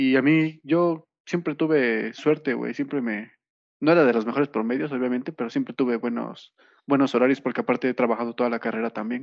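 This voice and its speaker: A man with a plain, everyday voice moves fairly quickly, his medium pitch showing ordinary variation. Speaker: podcast co-host. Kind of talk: casual chat.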